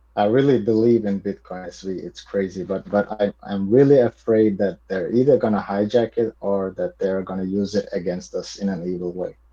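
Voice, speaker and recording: A man with a non-native accent talks in a dark, mellow tone. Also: quiet background. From Montenegro. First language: not English. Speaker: podcast guest, crypto enthusiast. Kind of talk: casual chat. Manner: halting, many repetitions.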